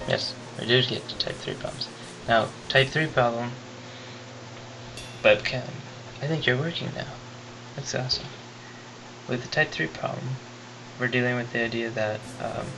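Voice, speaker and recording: Whispering at a moderate pace, a man leaves long, frequent pauses against noticeable background noise. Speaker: physics teacher. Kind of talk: tutorial. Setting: webcam recording. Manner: whispery.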